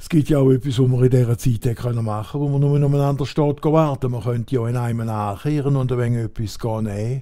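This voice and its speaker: With an Alemannic accent, a man talks at a very fast pace with hardly any pauses, in a dark, mellow tone at a medium pitch and with fairly even intonation. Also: very clean recording, silent background. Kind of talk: comic dialect monologue.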